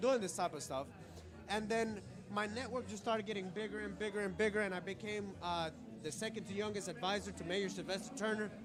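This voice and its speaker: A man with a high pitch talks at a fairly quick pace in an animated tone. Audible room echo and noticeable background noise surround his voice. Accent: Spanish. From Colombia. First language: Spanish. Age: young. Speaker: political candidate. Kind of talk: interview. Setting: networking event.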